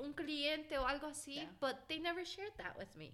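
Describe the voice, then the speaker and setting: With an American accent, a woman uses a raised, projected voice, her tone bright and sharp and her pitch high. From Florida, US (left at 16 for Mexico). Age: 20s. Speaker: podcast co-host. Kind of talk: casual chat.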